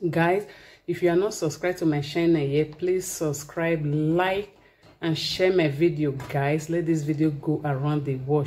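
Keeping a moderate pace, a woman speaks in a very deep, low pitch. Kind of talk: casual cooking tutorial. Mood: cheerful, festive. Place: kitchen. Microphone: phone near.

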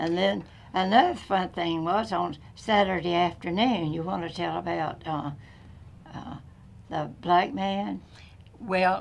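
A very slow, fairly low woman's voice with vocal fry and an American accent. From northern Florida. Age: 90s. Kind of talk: oral history interview.

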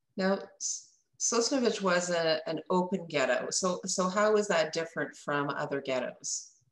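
With audible room echo around her, a woman speaks at a medium pitch and a moderate pace. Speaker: interviewer. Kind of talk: interview. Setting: video call. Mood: calm, respectful. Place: office. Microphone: webcam.

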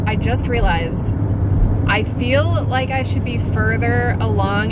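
A woman speaks at a fairly slow pace with ordinary pitch variation. The sound is dry with no echo, set against loud background noise. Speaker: vlogger. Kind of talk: casual vlog chat. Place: car. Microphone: phone near.

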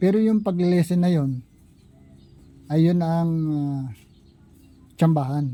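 A man speaks in a high pitch with a dark, mellow tone and ordinary pitch variation. His pace is fairly slow, broken by long, frequent pauses. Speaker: vlogger. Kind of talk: opinion monologue. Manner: halting.

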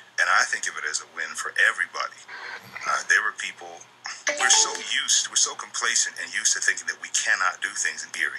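A man speaking at a very fast pace over loud background noise. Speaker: interview guest. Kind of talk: interview answer.

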